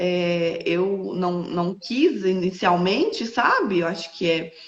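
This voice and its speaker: A woman with lively intonation. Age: 20s. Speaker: entrepreneur and widowed mother. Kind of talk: interview testimony. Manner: halting, many fillers.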